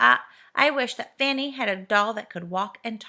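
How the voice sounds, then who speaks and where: A woman puts on a character voice at a moderate pace. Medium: read story. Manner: excitable, quick.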